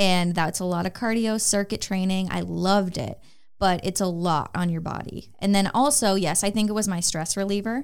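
Pitch varies in an ordinary way at a moderate pace. It is an ordinary speaking voice, with an American accent. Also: woman, medium pitch for a woman. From Minnesota, US Midwest. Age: 20s. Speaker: online fitness coach. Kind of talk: casual chat. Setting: studio.

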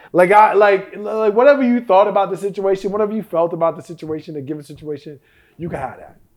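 Animated and high-pitched, a man talks at a very fast pace with ordinary pitch variation and big swings in loudness. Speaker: podcast host. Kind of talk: casual chat. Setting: studio.

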